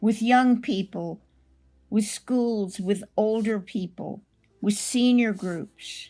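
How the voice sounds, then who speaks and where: Over music in the background, a woman speaks at a very slow pace with a fairly high pitch and fairly even intonation. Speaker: Holocaust survivor, author and speaker. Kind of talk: personal testimony.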